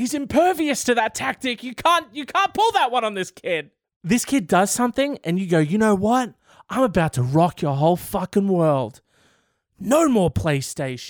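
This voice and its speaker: A high-pitched man's voice with an Australian accent and very wide pitch swings, dry and close with no echo, in a very clean recording with a silent background. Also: moderate pace. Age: 20s. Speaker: podcast host. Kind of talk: casual solo commentary.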